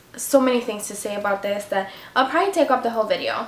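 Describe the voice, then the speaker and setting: With noticeable background noise behind her, this woman's fairly high voice shifts in pitch a normal amount. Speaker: beauty vlogger. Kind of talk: tutorial. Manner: fast; casual, chatty.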